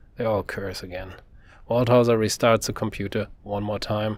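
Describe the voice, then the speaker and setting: A man's ordinary speaking voice, an ordinary speaking voice at medium pitch and moderate pace, on a very clean recording with a silent background. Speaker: author reading his own novel. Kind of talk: audiobook narration.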